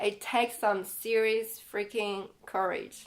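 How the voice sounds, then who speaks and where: Her voice is fairly high, and the woman talks with a non-native accent. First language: not English. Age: 30s. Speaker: life coach and author. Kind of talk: personal vlog. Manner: casual, conversational.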